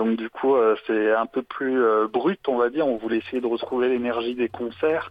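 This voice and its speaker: A man at medium pitch with fairly even intonation and a moderate pace, in a normal speaking voice. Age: 20s. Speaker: saxophonist. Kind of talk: interview. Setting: phone call.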